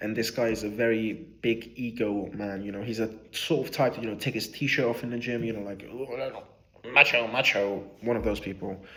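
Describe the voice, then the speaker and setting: A man at medium pitch, bright and sharp in tone, monotone and flat in intonation, at a moderate pace, with audible room echo. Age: 20s. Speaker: vlogger. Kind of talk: casual reflective monologue. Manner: hesitant with fillers.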